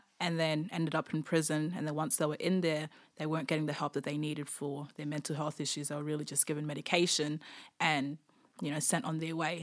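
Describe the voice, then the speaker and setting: Using a very deep, low pitch, a woman with an Australian accent speaks at a very fast pace. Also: very clean recording, silent background. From Darwin, Australia. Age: 20s. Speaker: former prisoner. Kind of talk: interview testimony.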